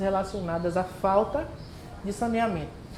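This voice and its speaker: A woman's voice, with ordinary pitch variation, carries audible room echo. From Bahia, Brazil (Santo Amaro, Recôncavo). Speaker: environmental educator, workshop presenter. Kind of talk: community workshop presentation.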